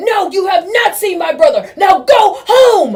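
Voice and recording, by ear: In a put-on character voice, a woman speaks at an extremely high pitch with big swings, a slightly mellow tone and a fairly slow pace.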